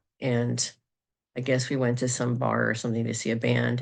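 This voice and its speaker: The voice has vocal fry and a monotone, flat intonation, moving at a moderate pace. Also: woman. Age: 50s. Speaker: astrologer and psychic. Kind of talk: casual monologue video. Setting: recorded video. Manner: halting, many fillers.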